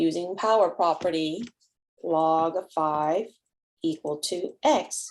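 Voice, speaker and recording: A normal speaking voice from a woman, fairly low in pitch, with ordinary pitch variation. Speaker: math teacher. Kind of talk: tutorial.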